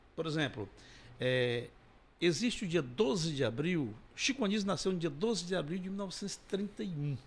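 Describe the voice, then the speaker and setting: This man's voice swings very widely in pitch. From Ceará, Brazil (Massapê, near Sobral). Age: 60s. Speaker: comedian. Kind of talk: interview.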